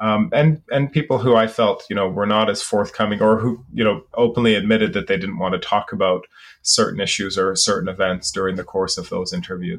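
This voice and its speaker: A man speaks in a normal speaking voice, fairly low in pitch, with lively intonation. His fairly quick pace has hardly any pauses, over a quiet background. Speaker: sociology professor. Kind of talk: interview.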